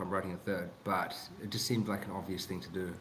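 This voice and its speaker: In a room with audible echo, a man with a New Zealand accent talks at a fairly quick pace. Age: 30s. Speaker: author. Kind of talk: podcast interview. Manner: halting, many restarts.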